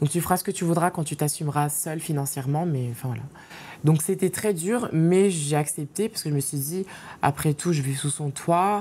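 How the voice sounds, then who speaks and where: Speaking at a fairly quick pace, a woman has a very deep, low pitch and a dark, mellow tone. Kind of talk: interview answer.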